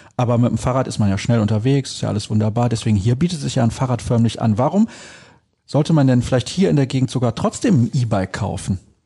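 Against a quiet background, a man speaks at a very fast pace with a dark, mellow, somewhat breathy tone, ordinary pitch variation and very even loudness. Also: medium pitch for a man. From Solingen, western Germany. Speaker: podcast host. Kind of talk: casual interview.

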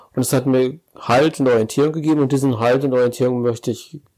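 This man speaks very fast at a medium pitch, his tone dark and mellow. His loudness stays very even and his intonation fairly even. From Ruhr area, Germany (Ennepetal). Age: 50s. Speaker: parish pastor. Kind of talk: casual interview chat. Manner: direct.

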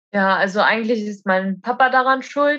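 A woman talks at a fairly slow pace in an ordinary speaking voice, fairly high in pitch with ordinary pitch variation. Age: 20s. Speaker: roofer. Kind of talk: casual interview. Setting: at home.

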